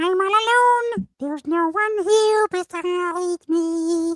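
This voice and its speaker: A squeaky, put-on character voice, extremely high in pitch, talks at a fairly slow pace. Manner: mocking, sarcastic.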